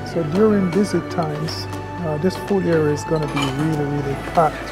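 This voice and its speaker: A man talks at a fairly quick pace over clear background music. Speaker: travel vlogger. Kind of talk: casual vlog chat. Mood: upbeat, enthusiastic. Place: hall. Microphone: lapel.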